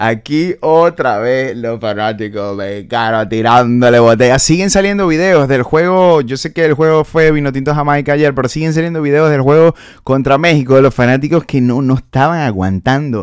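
A man's fairly high voice at a moderate pace, dry sound with no echo. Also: ordinary pitch variation, hardly any pauses, quiet background. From Venezuela, Maracaibo; Venezuela. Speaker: comedian. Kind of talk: comedic commentary. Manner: animated. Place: home room. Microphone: studio mic.

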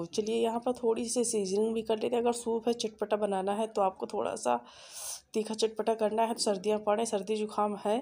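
Moving at a moderate pace, this voice carries a dark, mellow tone. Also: woman. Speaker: cooking vlogger. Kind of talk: cooking tutorial.

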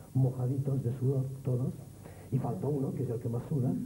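A man is talking at a moderate pace, with light noise behind him. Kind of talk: interview answer. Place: stage. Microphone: handheld.

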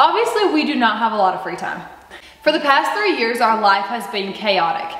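A woman's voice moves in very wide pitch swings at a moderate pace, with audible room echo. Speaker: homestead vlogger. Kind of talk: casual vlog chat. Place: home room. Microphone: camera far.

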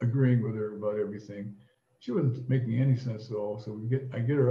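A man speaks with a somewhat breathy sound and fairly even intonation. Room echo is audible around him. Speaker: storyteller. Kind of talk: casual anecdote telling. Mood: amused, bawdy humor. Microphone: webcam.

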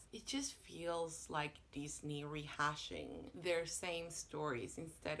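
Against light background noise, a woman talks at a fairly slow pace. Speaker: booktuber; book vlogger. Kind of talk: casual monologue to camera. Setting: home apartment. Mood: wry, sarcastic.

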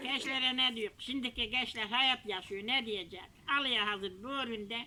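In a Kahramanmaraş accent, a woman talks at a moderate pace with a fairly high pitch and fairly even intonation. Noticeable background noise is present. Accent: Kahramanmaraş village dialect. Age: 80s+. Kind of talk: casual conversation.

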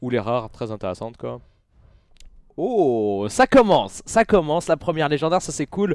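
A man speaks in an animated tone with lively intonation. The sound is dry with no echo, over a quiet background. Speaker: gaming YouTuber and streamer; gaming YouTuber, streamer. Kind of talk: casual booster-opening commentary. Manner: fast. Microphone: headset.

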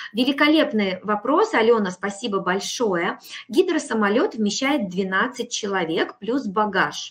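Over a quiet background, a woman talks at a very slow pace. Her intonation is lively. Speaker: hotel representative; hotel sales representative. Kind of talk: sales presentation. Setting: online webinar. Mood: friendly, promotional. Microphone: video call.

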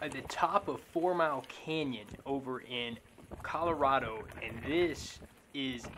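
Light background noise sits behind a man speaking fairly slowly with ordinary pitch variation. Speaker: wheel rider vlogger. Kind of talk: casual vlog chat. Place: open country.

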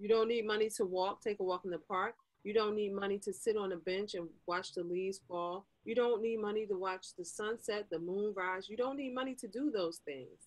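A woman at a moderate pace with ordinary pitch variation and hardly any pauses, over a quiet background. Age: 50s. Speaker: life coach; podcast guest, life coach. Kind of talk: casual interview; interview answer. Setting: video call. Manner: animated. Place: home room. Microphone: video call.

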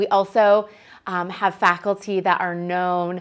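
Against a quiet background, a woman speaks in a monotone, flat intonation. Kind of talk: promotional presentation to prospective students.

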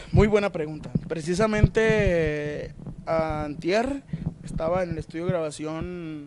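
A man speaks in a fairly high voice with ordinary pitch variation over light background noise. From Sinaloa, Mexico. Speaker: musician in a regional Mexican band. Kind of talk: interview, casual chat. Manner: halting with many fillers. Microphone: handheld.

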